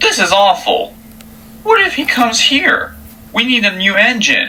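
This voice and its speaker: A female-sounding, put-on character voice, high-pitched, at a moderate pace over clear background noise. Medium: audio drama.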